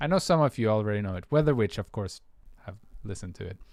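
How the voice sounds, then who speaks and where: A man speaks at a fairly low pitch with ordinary pitch variation, on a very clean recording with a silent background. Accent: Swedish. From Sweden. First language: Swedish. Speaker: music producer. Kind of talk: livestream tutorial chat. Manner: hesitant, many fillers.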